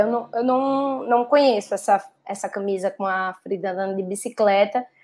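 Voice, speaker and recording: Over a quiet background, a woman speaks with a northeastern Brazilian accent. Her pace is moderate and her intonation fairly even. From Natal, Rio Grande do Norte, Brazil. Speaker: policy director and doctoral student. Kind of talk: online panel discussion.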